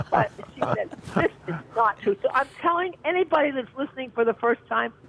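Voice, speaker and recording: A man's extremely high voice with lively intonation at a fairly quick pace, dry and close with no echo, over noticeable background noise. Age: 70s. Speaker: caller. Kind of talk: testimony. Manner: animated.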